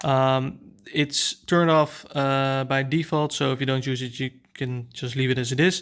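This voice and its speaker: With a Dutch accent, a man talks at a moderate pace in a medium-pitched, monotone, flat voice. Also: very clean recording, silent background. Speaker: tech reviewer / YouTuber. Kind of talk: product review tutorial. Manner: halting, many fillers.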